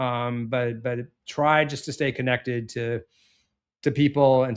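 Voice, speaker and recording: Here a man speaks at a medium pitch with fairly even intonation. The background is quiet. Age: 50s. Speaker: startup founder and marketing executive. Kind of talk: podcast interview. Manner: hesitant, many fillers.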